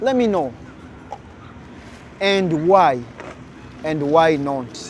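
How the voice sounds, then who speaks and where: Amid noticeable background noise and audible room echo, a man with an African accent speaks very slowly. His pitch is fairly high and his intonation lively. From Uganda. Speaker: content creator. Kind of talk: vlog monologue addressing viewers.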